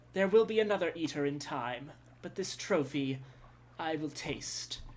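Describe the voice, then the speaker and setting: A put-on character voice at a middle pitch comes out raspy and wheezy. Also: moderate pace. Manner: gloating, predatory.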